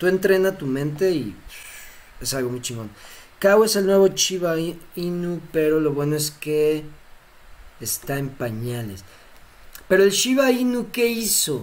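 A man's high voice in a Mexican accent, at a fairly slow pace with very wide pitch swings and long, frequent pauses. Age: 30s. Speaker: crypto streamer. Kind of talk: live stream Q&A. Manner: casual, laughing often.

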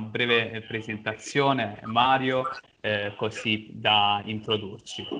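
Fairly low male voice, monotone with flat intonation. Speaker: interviewer. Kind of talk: interview. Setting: video call.

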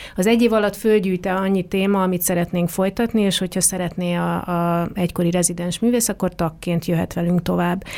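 With hardly any pauses, a woman speaks at a medium pitch. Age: 40s. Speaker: dance artist and arts organization leader. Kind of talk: interview. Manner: hesitant with fillers.

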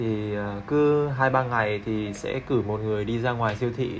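Music plays in the background. A man speaks with fairly even intonation. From Hanoi, northern Vietnam. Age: 20s. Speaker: photographer. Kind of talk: casual chat. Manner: halting.

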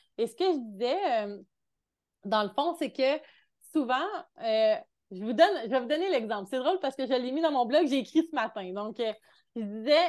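Against a quiet background, a woman speaks at a high pitch with lively intonation. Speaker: mentor and entrepreneur. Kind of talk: casual interview.

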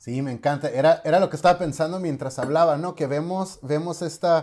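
A man speaks at a moderate pace in a dark, mellow tone with fairly even intonation. The recording is very clean, with a silent background. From Mexicali, Baja California, Mexico. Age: 30s. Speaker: podcast host and theology student. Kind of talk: casual chat.

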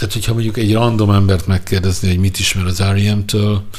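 A man talks at a fairly quick pace in a flat monotone, with audible echo in the room. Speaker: podcast host and music journalist. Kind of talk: casual chat about music.

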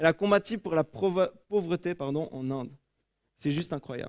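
The intonation is lively and the pace moderate. The recording is very clean with a silent background and a dry, close sound with no echo. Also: man. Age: 20s. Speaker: preacher. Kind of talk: sermon; prayer. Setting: church.

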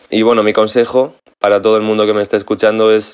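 This man has a plain, everyday voice at medium pitch. He talks at a fairly quick pace. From Spain, Ávila. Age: 20s. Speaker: DJ. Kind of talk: recorded message.

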